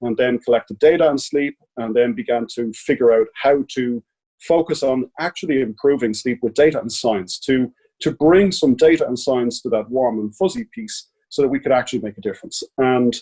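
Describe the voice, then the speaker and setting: Heard with a dry, close sound and no echo, a man with an Irish accent speaks at a medium pitch in a dark, mellow tone. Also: ordinary pitch variation, moderate pace. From Ireland. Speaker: sleep technology company CEO. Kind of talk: podcast interview.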